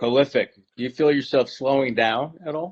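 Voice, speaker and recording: A man with an ordinary speaking voice and fairly high pitch talks at a moderate pace. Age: 60s. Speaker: author. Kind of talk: casual chat.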